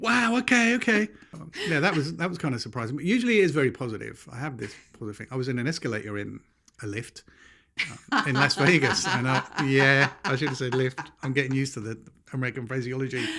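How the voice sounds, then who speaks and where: A man with a British accent and medium pitch talks at a very fast pace, his tone bright and sharp and his intonation lively. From London, England. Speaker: podcast co-host. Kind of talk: casual chat.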